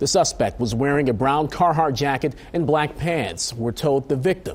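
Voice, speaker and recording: A man speaks in an ordinary speaking voice with a fairly high pitch. His pace is moderate and his pitch varies in an ordinary way. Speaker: TV news anchor. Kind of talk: TV news anchor read. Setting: studio.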